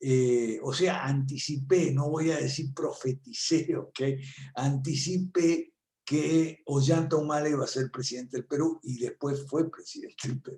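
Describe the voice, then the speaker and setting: Fairly slow, somewhat breathy speech from a man. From Argentina. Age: 70s. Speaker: political analyst and professor. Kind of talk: talk at an online conference. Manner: conversational with many fillers.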